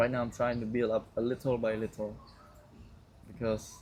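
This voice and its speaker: The man's pitch sits at a medium level. He talks at a moderate pace with monotone, flat intonation. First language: Khmer. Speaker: vlogger. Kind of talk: casual monologue to camera. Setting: outdoors. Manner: loud; halting.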